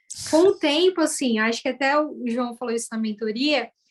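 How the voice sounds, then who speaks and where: A woman's high voice in a São Paulo accent, moderate pace, ordinary pitch variation. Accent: Brazilian Portuguese, São Paulo (paulistano). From Brazil, São Paulo east zone. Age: 30s. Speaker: former educator turned data analyst. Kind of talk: interview testimony.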